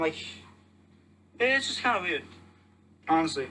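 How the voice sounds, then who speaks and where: A man speaks in a raised, projected voice at a very fast pace, with very wide pitch swings. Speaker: podcast host. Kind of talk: casual monologue. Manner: halting.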